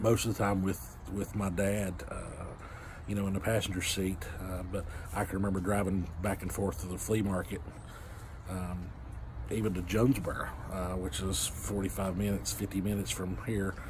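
Over noticeable background noise, a man with a very deep, low voice talks at a moderate pace, somewhat breathy, his intonation fairly even. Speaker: vlogger. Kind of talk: casual vlog chat. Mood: relaxed, cheerful. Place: home room. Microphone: phone near.

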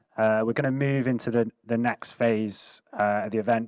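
A man's plain, everyday voice at medium pitch, fairly even in intonation and moderate in pace, with a dry sound, no echo and a quiet background. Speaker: event organiser and moderator; moderator. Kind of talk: event hosting. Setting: stage with audience. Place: hall. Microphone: handheld.

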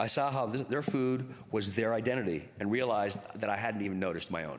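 Speaking at a fairly quick pace, a man keeps a fairly low pitch with ordinary pitch variation.

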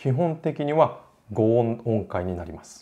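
A man talks in a dark, mellow tone. His pitch variation is ordinary. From Japan. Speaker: classical music educator, opera singer; classical music educator. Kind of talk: lecture; casual chat. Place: home room.

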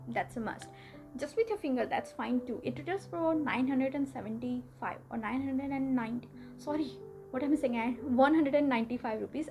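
A woman with a high pitch and ordinary pitch variation speaks over clear music in the background. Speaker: beauty vlogger. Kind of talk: casual product review chat. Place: home room.

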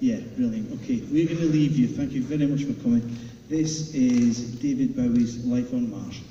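Moderate pace and ordinary pitch variation, with light background noise and audible room echo. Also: man. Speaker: presenter. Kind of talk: stage announcement. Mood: light, jokey. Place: hall.

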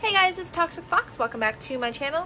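A woman speaks in a raised, projected voice over light background noise. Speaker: craft youtuber. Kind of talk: casual vlog chat. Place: home room. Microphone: phone near.

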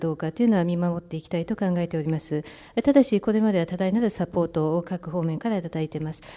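Speaking at a very fast pace, a woman has a fairly low pitch and a dark, mellow tone. Her pitch variation is ordinary. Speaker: interpreter. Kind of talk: consecutive interpretation. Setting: press conference.

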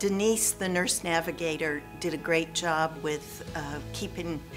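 A woman's fairly slow speech over clear background music. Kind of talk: interview answer. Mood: pleased, relieved. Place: home room. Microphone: lapel.

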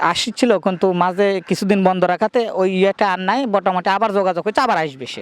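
A man speaks in a high pitch with ordinary pitch variation. The sound is dry and close, with no echo. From Bangladesh, Natore district (Singra). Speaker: duck farmer. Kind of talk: on-site interview.

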